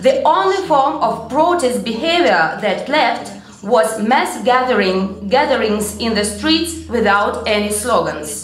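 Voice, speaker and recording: A woman with a fairly high pitch and lively intonation speaks at a fairly slow pace amid audible room echo and light background noise. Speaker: literary scholar; conference speaker. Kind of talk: conference talk. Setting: stage with audience. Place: hall. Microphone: podium.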